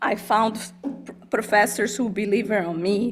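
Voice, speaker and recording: Speaking at a moderate pace with fairly even intonation, a woman with a fairly high pitch talks in a Brazilian Portuguese accent. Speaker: college dean. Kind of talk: personal testimony speech. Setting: board meeting, hybrid in-person and Zoom.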